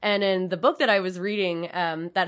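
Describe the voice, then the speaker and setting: A woman talks at a fairly quick pace and medium pitch. She has a plain, everyday voice on a very clean recording with a silent background. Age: 20s. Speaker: social media specialist and podcast co-host. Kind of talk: casual chat.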